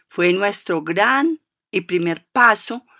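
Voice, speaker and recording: Bright and sharp in tone, a woman's voice shows ordinary pitch variation, with a dry, close sound free of echo on a very clean recording with a silent background. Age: 50s. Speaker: foundation director and co-founder. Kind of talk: radio interview.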